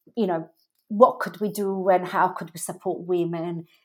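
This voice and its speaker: An Italian accent at a fairly slow pace on a very clean recording with a silent background. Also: woman. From Milan, Italy. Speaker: fashion brand founder. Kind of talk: interview, conversational.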